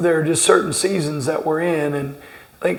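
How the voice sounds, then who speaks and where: A man with a Southern US accent speaks at a fairly high pitch in a monotone, flat intonation. Audible room echo and noticeable background noise surround him. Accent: Southern twang. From southern Indiana, Greene County. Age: 40s. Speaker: basketball coach. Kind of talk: interview. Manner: halting, many repeated words.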